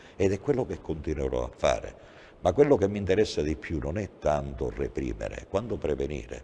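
Some light background noise is present. The male speaker moves along fairly quickly. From Sicily, Agrigento; Sicily. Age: 60s. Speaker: police chief; guest. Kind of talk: TV interview. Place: studio.

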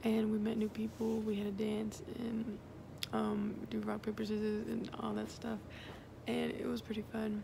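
A woman at a moderate pace and very even loudness, with audible room echo and noticeable background noise. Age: young. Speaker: college student vlogger. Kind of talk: casual vlog. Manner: casual.

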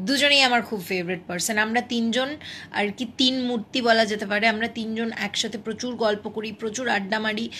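There is a plain, everyday voice with fairly even intonation and light background noise. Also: woman, fairly high pitch for a woman. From Malda, West Bengal, India; West Bengal, India. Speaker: TV serial actress; television serial actress. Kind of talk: live Q&A with fans. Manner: casual, chatty. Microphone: phone near.

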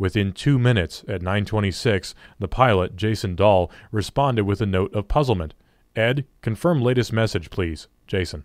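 At a moderate pace, a man speaks in an ordinary speaking voice with a fairly low pitch. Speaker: audiobook narrator. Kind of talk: audiobook reading of a government report, grave dramatic narration. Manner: solemn, measured, formal.

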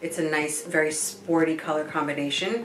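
Speaking fairly low at a moderate pace, a woman is heard with audible room echo and light background noise. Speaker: guest. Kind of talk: product review talk. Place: home room.

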